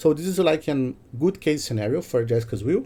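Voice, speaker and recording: This man's voice has a dark, mellow tone. He has a non-native accent. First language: not English. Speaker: content creator and data website developer. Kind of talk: tutorial. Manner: hesitant, frequent fillers.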